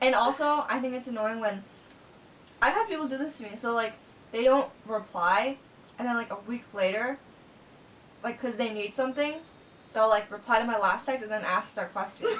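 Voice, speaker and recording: A woman speaks quietly at a fairly high pitch, with ordinary pitch variation and long, frequent pauses. Noticeable background noise is present. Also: moderate pace. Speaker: video blogger. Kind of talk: casual chat.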